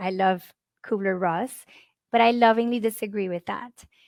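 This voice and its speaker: A woman with a Spanish accent and ordinary pitch variation, in a dry, close sound with no echo on a very clean recording with a silent background. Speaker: grief speaker. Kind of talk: conference talk. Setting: live conference.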